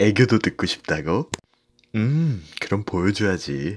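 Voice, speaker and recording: A man's playful, dark and mellow voice at a very slow pace, with very wide pitch swings.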